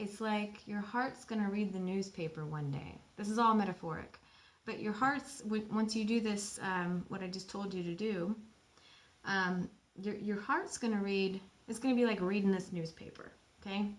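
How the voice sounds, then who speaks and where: A woman speaks at a moderate pace. Her pitch is medium, with ordinary pitch variation. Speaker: spiritual channeler. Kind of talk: guided meditation. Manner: animated.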